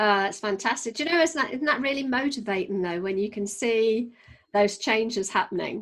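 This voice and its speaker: With a Geordie accent, a woman speaks at a fairly quick pace in a fairly high pitch with lively intonation. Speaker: podcast host, business trainer. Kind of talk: casual chat.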